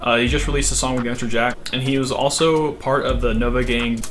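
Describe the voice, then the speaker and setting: Over noticeable background noise and audible room echo, a man talks at a fairly quick pace. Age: 20s. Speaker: music commentary youtuber. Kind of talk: video essay commentary. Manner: casual with many fillers; enthusiastic.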